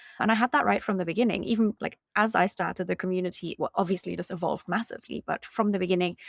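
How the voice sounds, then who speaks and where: Speaking very fast at a medium pitch, a woman keeps her intonation fairly even, with vocal fry and a dry, close sound with no echo. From Germany and Britain. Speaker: community founder and entrepreneur. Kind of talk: podcast interview. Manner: casual, conversational.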